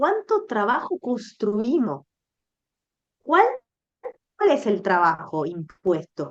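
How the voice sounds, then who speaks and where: A woman with a fairly high pitch, speaking very slowly. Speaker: menstrual educator. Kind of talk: interview conversation. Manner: halting.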